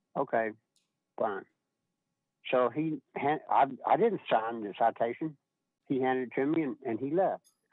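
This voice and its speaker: This man talks at a moderate pace with ordinary pitch variation. His voice sits at a medium pitch. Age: 60s. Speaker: caller. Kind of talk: public comment. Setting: phone call.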